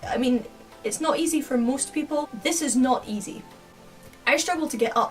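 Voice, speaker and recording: A Scottish accent at a moderate pace, ordinary pitch variation, and music in the background. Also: woman. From Scotland. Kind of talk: casual talk to camera.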